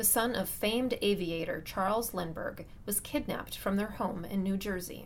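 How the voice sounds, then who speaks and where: A woman's plain, everyday voice, medium in pitch with ordinary pitch variation, at a moderate pace. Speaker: podcast host narrator. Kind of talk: scripted narration.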